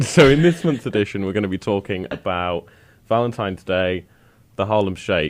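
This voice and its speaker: A man with a British accent, fairly low in pitch, with lively intonation at a moderate pace, on a very clean recording with a silent background. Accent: British accent, remarked on. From Britain. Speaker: radio host. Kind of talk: casual chat. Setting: studio.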